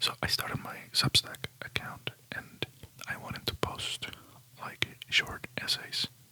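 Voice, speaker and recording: Relaxed whispering over noticeable background noise. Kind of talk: ASMR whispered rambling talk to camera. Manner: whispering, soft, relaxed.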